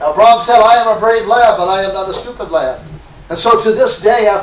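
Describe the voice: The clip features plain reading aloud.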